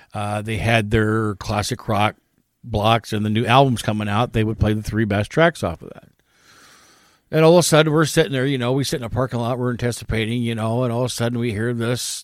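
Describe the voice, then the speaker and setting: A Midwestern American accent at a fairly quick pace on a very clean recording with a silent background. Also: man. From US Midwest, northern Indiana. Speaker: podcast co-host. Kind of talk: casual chat.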